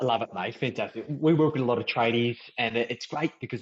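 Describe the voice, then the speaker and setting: Speaking fairly quickly with an Australian accent, a man uses a medium pitch and ordinary pitch variation. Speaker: podcast host, financial mentor. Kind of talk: podcast interview.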